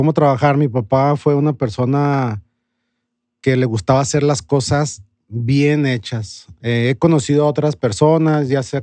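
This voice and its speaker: Speaking very slowly against a quiet background, a man has a dark, mellow tone, a medium pitch and ordinary pitch variation. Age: 40s. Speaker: bar owner. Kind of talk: interview.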